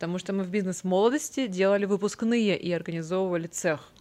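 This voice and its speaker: With a normal speaking voice, a woman of medium pitch talks at a fairly quick pace with lively intonation against a quiet background. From Vologda, northern Russia. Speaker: event director and organizer. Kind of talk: interview conversation.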